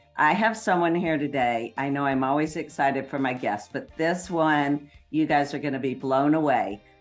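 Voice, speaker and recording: A woman's very deep, low voice at a moderate pace, with hardly any pauses and music in the background. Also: ordinary pitch variation. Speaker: podcast host. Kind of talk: podcast interview talk.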